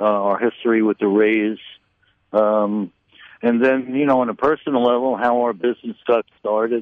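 A man with a New York accent speaks at a moderate pace. His medium pitch shows ordinary variation. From Brooklyn, New York. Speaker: retired cigar retailer. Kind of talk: interview.

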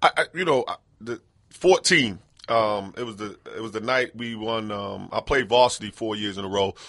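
An ordinary speaking voice from a man with an American accent, medium pitch, ordinary pitch variation, moderate pace and big swings in loudness, in a dry, close sound with no echo and a quiet background. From New York City. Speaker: retired basketball player. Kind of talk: interview. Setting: studio.

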